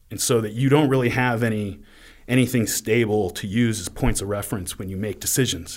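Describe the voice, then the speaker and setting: A man talks fairly quickly in an ordinary speaking voice, medium in pitch, with ordinary pitch variation. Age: 30s. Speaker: history podcaster. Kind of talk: casual interview.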